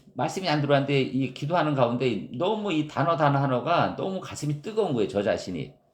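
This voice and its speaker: Speaking with a strong Gyeongsang accent, a man uses a fairly high pitch and lively intonation at a fairly quick pace. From Gyeongsang region, South Korea. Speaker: pastor. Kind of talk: sermon.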